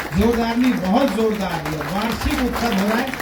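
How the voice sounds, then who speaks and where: Noticeable background noise accompanies a man's talking. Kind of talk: speech at award ceremony.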